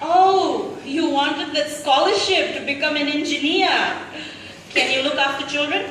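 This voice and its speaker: A high-pitched woman speaking fairly slowly with fairly even intonation, over noticeable background noise. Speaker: spoken word poet. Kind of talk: spoken word poetry performance. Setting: live event.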